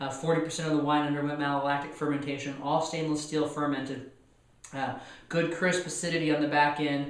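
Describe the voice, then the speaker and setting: Audible room echo and noticeable background noise surround a voice with fairly even intonation. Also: man. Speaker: wine reviewer. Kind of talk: wine tasting review. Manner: hesitant, many fillers.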